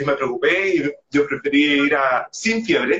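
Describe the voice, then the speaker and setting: A man speaking at a fairly slow pace. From Chile. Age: 20s. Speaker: podcaster. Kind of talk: casual interview. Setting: Instagram live video call.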